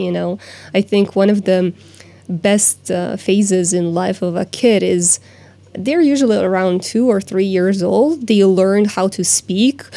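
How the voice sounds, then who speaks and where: This woman talks fairly slowly with a Croatian accent, her medium pitch showing ordinary variation. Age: 30s. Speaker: life coach. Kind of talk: interview. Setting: studio.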